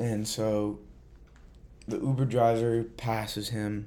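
With audible room echo, a man speaks at a very slow pace in a dark, mellow tone, his medium pitch kept in a monotone, flat intonation. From Central Massachusetts. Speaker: podcast host. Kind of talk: casual monologue.

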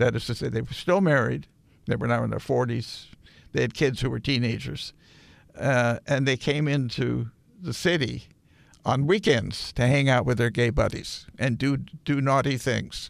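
A man speaks at a moderate pace and medium pitch, with vocal fry. His pitch varies in an ordinary way, and the recording is very clean with a silent background. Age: 70s. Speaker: retired history professor. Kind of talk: interview. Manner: halting.

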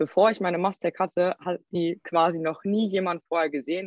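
Speaking at a moderate speed, a woman uses an ordinary speaking voice pitched fairly low. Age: 20s. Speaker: social media creator. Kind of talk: interview.

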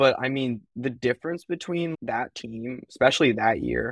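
In a normal speaking voice with an American accent, a man speaks at a moderate pace and medium pitch with ordinary pitch variation, the sound dry and close with no echo against a quiet background. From US West Coast (East Bay, California). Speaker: college club hockey goaltender. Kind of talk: casual interview.

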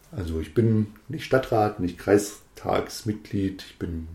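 A man's fairly low, somewhat breathy voice with a dark, mellow tone at a very slow pace. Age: 40s. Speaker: district administrator candidate, politician. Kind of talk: casual chat.

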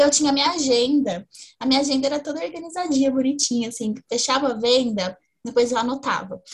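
At a very fast pace, a woman speaks in a high voice. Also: ordinary pitch variation. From Brazil, interior of São Paulo (Ribeirão Preto). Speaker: fashion retail strategist. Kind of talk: interview conversation. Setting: video call.

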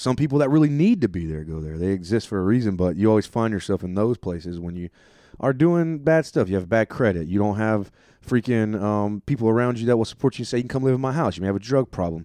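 A man at a very fast pace, fairly low in pitch, with lively intonation and a dark, mellow tone. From US, army family, born in Germany. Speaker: stand-up comedian and army veteran. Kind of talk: casual interview. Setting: on tour in Connecticut.

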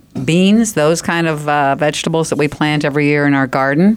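Here a woman speaks at a very deep, low pitch. Her pitch variation is ordinary. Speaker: company representative on garden products. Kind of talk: radio interview about gardening. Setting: radio studio.

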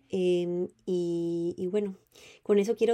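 The speaker is a woman with a dark, mellow tone. Her intonation remains fairly even. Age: 20s. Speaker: podcast host. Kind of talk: casual monologue.

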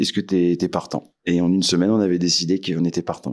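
This man talks fairly quickly on a very clean recording with a silent background. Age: 40s. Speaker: café owner. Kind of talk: interview. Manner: hesitant.

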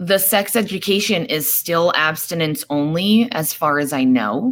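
In a very clean recording with a silent background, a woman with an American accent uses an ordinary speaking voice and lively intonation. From New York. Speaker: political party officer. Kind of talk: casual chat.

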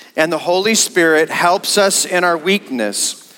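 A man with an unremarkable speaking voice talks at a fairly slow pace and a fairly high pitch. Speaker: pastor. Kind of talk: sermon; fervent prayer, spoken aloud to the congregation. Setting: church. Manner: earnest, heartfelt and pleading.

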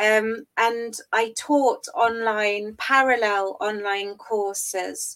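A woman with an English accent and a fairly high pitch. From England. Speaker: university lecturer. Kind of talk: interview.

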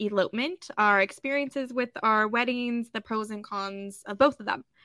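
With music in the background, a woman speaks at a moderate pace in a fairly high pitch with fairly even intonation. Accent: American. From California high desert. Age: 20s. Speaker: podcast co-host. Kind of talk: casual chat.

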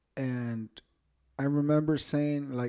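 This man's voice has a dark, mellow tone at a medium pitch. He speaks in a monotone with flat intonation. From Mexico, Michoacán. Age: 30s. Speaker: podcast guest. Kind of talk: casual storytelling.

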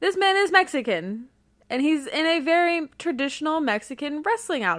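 On a very clean recording with a silent background, a woman with a Mid-Atlantic accent speaks at a high pitch and moderate pace, her pitch swinging very widely. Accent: general American, Mid-Atlantic. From US Mid-Atlantic. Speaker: podcast co-host. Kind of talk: casual chat, wrestling podcast.

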